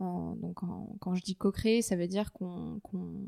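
A woman with a medium pitch and a dark, mellow tone talks at a fairly slow pace in a dry, close sound with no echo. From France, Paris. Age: 20s. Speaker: fashion brand co-founder and art director. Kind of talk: casual interview. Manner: halting, many repetitions.

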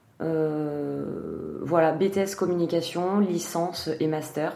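Over noticeable background noise and audible room echo, a woman talks in a very deep, low voice with fairly even intonation. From France, Gironde (Arcachon basin). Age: 30s. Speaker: food event agency co-founder. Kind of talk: casual interview.

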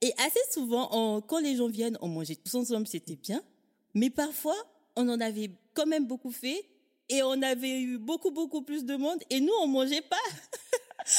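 Lively in intonation, a woman speaks at a fairly slow pace with a high pitch. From Africa. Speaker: podcaster, organization coach. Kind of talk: casual interview conversation. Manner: enthusiastic.

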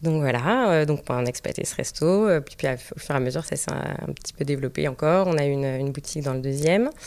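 Over noticeable background noise, a woman with a very deep, low pitch talks very fast, with hardly any pauses. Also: ordinary pitch variation. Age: 30s. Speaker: restaurant entrepreneur and mother. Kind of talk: casual interview. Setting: studio, filmed. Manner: halting, many fillers.

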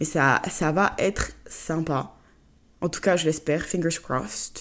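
Her voice sits fairly low and has vocal fry as the woman speaks. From Côte d'Ivoire. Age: 20s. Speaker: podcast host. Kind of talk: casual solo monologue.

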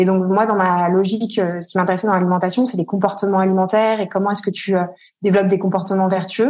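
The speech comes at a very fast pace. The intonation is flat and monotone. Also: woman, medium pitch for a woman. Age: 30s. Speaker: entrepreneur and mother. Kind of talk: interview. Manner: halting, many fillers.

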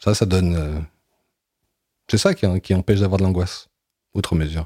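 A dark, mellow tone with fairly even intonation comes through a very clean recording with a silent background. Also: man. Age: 40s. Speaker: comic book writer and filmmaker. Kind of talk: interview. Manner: halting, many hesitations.

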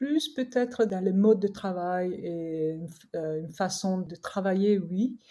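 A woman's dark, mellow tone, medium in pitch, at a very slow pace. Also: ordinary pitch variation. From Korea. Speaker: skincare brand co-founder. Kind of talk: interview. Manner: halting.

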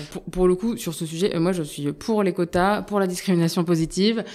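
A woman with a dark, mellow tone and fairly low pitch talks at a moderate pace in a very clean recording with a silent background. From Indian heritage. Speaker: startup founder and CEO. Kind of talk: interview. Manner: halting, many fillers.

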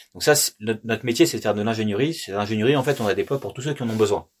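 A man talks at a very fast pace. His pitch is fairly low, and its variation is ordinary. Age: 30s. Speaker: company director. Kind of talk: interview.

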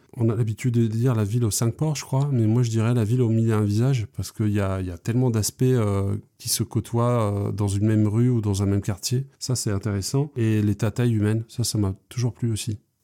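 Dry and close with no echo, a man's medium-pitched voice has a dark, mellow tone, fairly even intonation and a fairly quick pace. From Brittany, Lorient area. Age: 40s. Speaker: street artist. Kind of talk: interview. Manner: talkative; hesitant, frequent fillers.

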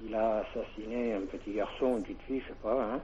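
A man talks with vocal fry at a medium pitch. His tone is dark and mellow, his intonation fairly even. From Hautes-Pyrénées, southwest France. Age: 50s. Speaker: caller. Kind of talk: call-in chat. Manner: halting.

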